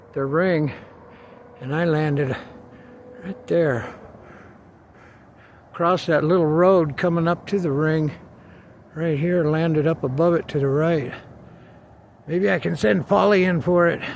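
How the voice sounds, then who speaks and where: A man speaks quietly and fairly slowly at a fairly high pitch, with ordinary pitch variation and long, frequent pauses. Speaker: video blogger. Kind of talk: casual vlog while playing disc golf outdoors. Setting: outdoors. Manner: quiet, calm.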